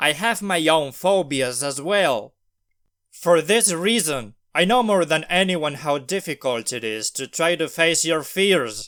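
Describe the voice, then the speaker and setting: A man with a non-native accent talks at a very slow pace, his pitch fairly high and his intonation lively. The recording is very clean, with a silent background. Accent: non-native accent, self-described. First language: not English. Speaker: language learner vlogger. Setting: recorded at night.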